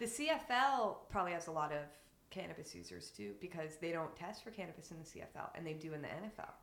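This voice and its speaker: Vocal fry and very wide pitch swings mark this fairly quick delivery, heard with audible room echo. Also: woman, fairly low pitch for a woman. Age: 30s. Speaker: cannabis advocate. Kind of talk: casual chat.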